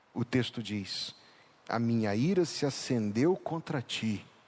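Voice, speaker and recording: A man speaks very slowly at a medium pitch, his pitch varying in an ordinary way. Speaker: pastor. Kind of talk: sermon. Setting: church.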